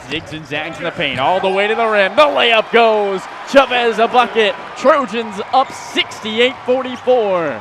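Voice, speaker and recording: Over noticeable background noise, a man speaks at a high pitch and a fairly slow pace, his intonation lively. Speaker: sports broadcaster, basketball radio play-by-play announcer. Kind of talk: radio sports play-by-play call.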